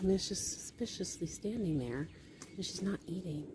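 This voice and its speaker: A woman whispers at a fairly quick pace. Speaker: homesteader vlogger. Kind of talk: casual vlog narration. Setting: outdoors on farm. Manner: whispering.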